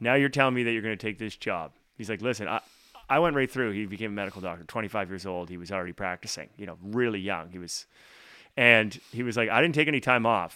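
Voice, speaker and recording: A man's very fast, bright, sharp voice, fairly low in pitch, with an Atlantic Canadian accent, ordinary pitch variation and big swings in loudness, on a very clean recording with a silent background. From Atlantic Canada. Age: 40s. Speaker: singer-songwriter. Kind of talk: casual interview.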